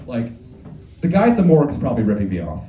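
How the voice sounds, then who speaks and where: Talking at a very fast pace, a man is heard over noticeable background noise and audible room echo. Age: 20s. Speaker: stand-up comedian. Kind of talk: stand-up. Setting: stage with audience.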